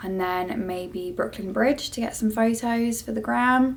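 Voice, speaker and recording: In a British accent, a woman speaks at a moderate pace with ordinary pitch variation. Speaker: cabin crew vlogger. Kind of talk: vlog.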